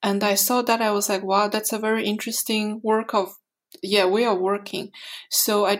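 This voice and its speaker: A woman speaks in a fairly high pitch with monotone, flat intonation. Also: very clean recording, silent background. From Mongolia. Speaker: animation filmmaker. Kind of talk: interview. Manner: halting.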